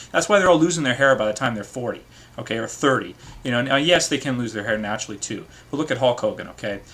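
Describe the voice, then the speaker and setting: A man delivers his words very fast. He uses lively intonation. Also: medium pitch for a man. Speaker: video blogger. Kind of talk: casual vlog commentary. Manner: hesitant, many fillers.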